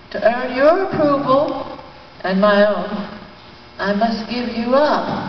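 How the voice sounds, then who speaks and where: A woman speaks very slowly at a high pitch, with lively intonation and long, frequent pauses. Audible room echo and light background noise surround her voice. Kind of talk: poem performed, dramatic anguished monologue in verse. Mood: grave, emotional. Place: hall.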